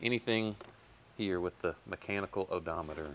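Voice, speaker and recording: A man talks at a moderate pace, his pitch varying in an ordinary way, with light background noise behind him. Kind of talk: tutorial. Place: workshop. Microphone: phone near.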